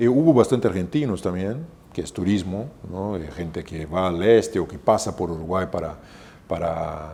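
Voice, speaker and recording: A man's very deep, low voice with a dark, mellow tone, lively intonation, big swings in loudness and a Brazilian accent. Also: moderate pace. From southern Brazil, Porto Alegre. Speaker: hotel manager. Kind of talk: interview. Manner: halting, many fillers and repetitions.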